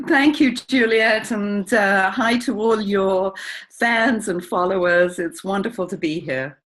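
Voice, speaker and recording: With an English accent, a woman at medium pitch talks at a fairly slow pace with lively intonation. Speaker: publisher and niche marketing coach. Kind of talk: interview.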